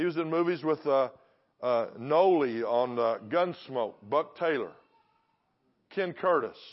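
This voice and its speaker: A man in a Texan accent speaks fairly slowly at a fairly high pitch with ordinary pitch variation, very even loudness, and long, frequent pauses. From Texas. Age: 60s. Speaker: guest preacher. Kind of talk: sermon. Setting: church service.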